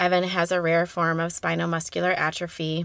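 This woman has a fairly low pitch and a bright, sharp tone at a moderate pace. The recording is very clean, with a silent background. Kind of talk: interview.

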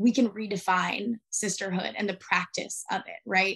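A normal speaking voice from a woman with an American accent, medium in pitch, with fairly even intonation at a moderate pace against a quiet background. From Arizona, US. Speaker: activist. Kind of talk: interview.

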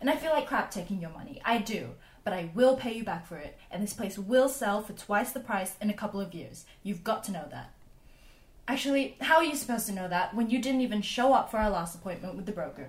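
Speaking at a very fast pace, a woman with a fairly high pitch sounds somewhat breathy and has lively intonation. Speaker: fictional home buyer. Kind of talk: scripted audio fiction.

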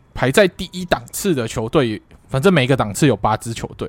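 On a very clean recording with a silent background, a man speaks with lively intonation in a Taiwanese accent. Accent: Taiwanese Mandarin. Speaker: football podcast co-host. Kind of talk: casual chat.

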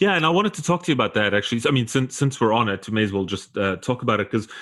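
A man talks at a very fast pace with a South African accent. The recording is very clean, with a silent background. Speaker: podcast host. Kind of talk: interview conversation.

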